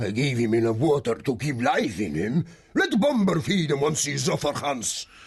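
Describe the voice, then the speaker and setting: Using a put-on character voice, a man speaks at a moderate pace with a fairly high pitch and lively intonation. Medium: audio drama. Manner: harsh, scornful.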